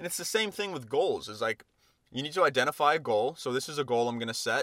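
Very fast and animated, a man with a fairly high, bright, sharp voice uses lively intonation in a dry, close sound with no echo. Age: 20s. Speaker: fitness coach and podcast host. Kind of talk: casual solo monologue.

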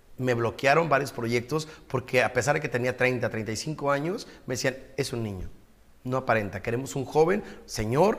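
A man with an unremarkable speaking voice talks at a fairly slow pace, with a medium pitch and ordinary pitch variation. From Ensenada, Baja California, Mexico. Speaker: broadcaster and businessman. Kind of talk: interview.

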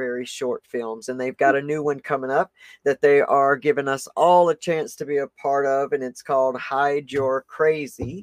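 Heard with a dry, close sound with no echo, a man with a Southern US accent speaks at a fairly high pitch with ordinary pitch variation. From US South. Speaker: podcast host. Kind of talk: casual interview chat. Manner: animated.

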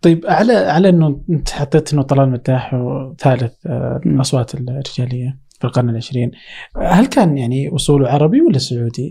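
With a dark, mellow tone, the voice sounds somewhat breathy and moves at a moderate pace. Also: man, fairly high pitch for a man, ordinary pitch variation. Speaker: podcast host. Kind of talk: interview conversation.

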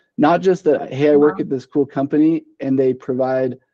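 The speaker has an unremarkable speaking voice with an American accent. Pace is moderate and pitch variation ordinary. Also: man. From Idaho, Boise. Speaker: marketing director. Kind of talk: casual interview.

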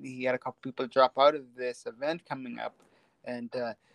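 A man talks at a moderate pace with ordinary pitch variation. The sound is dry and close, with no echo. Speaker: stand-up comedian. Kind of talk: casual chat. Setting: phone call. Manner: halting.

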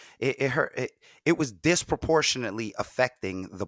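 Recorded very cleanly against a silent background, a man talks at a moderate pace in a dry, close sound with no echo. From New York, the Bronx. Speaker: podcaster and content creator. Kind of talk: casual interview chat.

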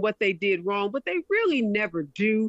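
Lively intonation runs through a woman's speech, delivered at a moderate pace. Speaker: attorney and TV commentator. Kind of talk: interview. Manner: confident, energetic.

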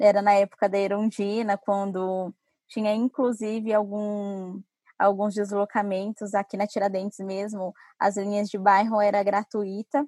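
A woman talks with a medium pitch. Her voice sounds dry and close, with no echo. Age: 20s. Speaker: urban mobility specialist. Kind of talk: interview.

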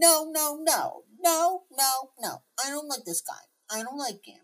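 A put-on character voice comes through with a high pitch and a whiny sound. It moves at a fairly slow pace. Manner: whining, complaining.

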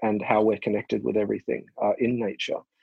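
A man with an Australian accent speaks at a medium pitch, and the sound is dry and close with no echo. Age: 40s. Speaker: naturopath and researcher. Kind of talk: interview. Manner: halting.

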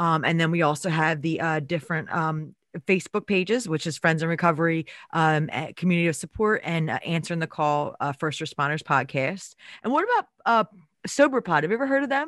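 A woman speaks in a normal speaking voice, fairly low in pitch. Her pace is fairly quick and her intonation lively. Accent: American. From Philadelphia area. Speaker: guest and co-host, human services worker.

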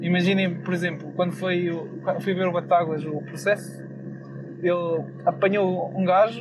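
Over noticeable background noise and audible room echo, a man talks at a fairly slow pace in a European Portuguese accent. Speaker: podcast host. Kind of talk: casual monologue.

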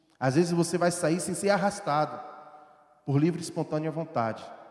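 A man's fairly high voice moves at a moderate pace with fairly even intonation, and noticeable noise sits in the background. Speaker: preacher. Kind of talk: sermon. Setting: church. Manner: rhetorical questions and fervent exhortation; earnest, urgent, pleading.

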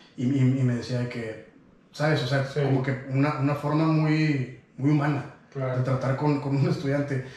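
With a Mexican accent and a fairly high pitch, a man speaks at a moderate pace in a monotone, flat intonation, amid noticeable background noise and audible room echo. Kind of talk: casual chat.

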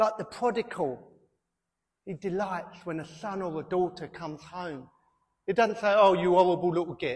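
A man with a British accent speaks at a moderate pace in a high pitch, with ordinary pitch variation, big swings in loudness, and long, frequent pauses. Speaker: pastor. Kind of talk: sermon. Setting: church.

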